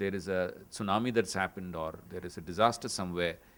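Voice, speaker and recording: Speech in a Tamil accent runs at a fairly quick pace on a very clean recording with a silent background. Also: man. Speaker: panel moderator. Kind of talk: panel discussion summary. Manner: halting.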